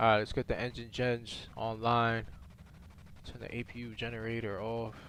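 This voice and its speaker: Monotone and flat, a man speaks at medium pitch and a fairly slow pace. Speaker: flight sim streamer. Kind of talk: live stream commentary. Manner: halting, stuttering; casual, filler-heavy.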